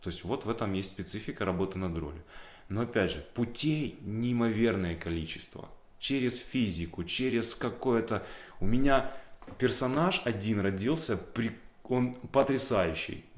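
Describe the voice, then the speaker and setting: The delivery is fairly slow, with long, frequent pauses. The intonation is lively. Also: man, medium pitch for a man. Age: 30s. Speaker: actor. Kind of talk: interview monologue. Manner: casual, with frequent fillers.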